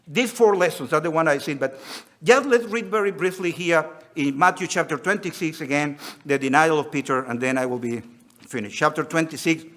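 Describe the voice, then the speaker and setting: Lively intonation comes through at a fairly quick pace over noticeable background noise. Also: man, fairly high pitch for a man. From Venezuela. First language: Spanish. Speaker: preacher. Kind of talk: sermon. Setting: conference hall with audience.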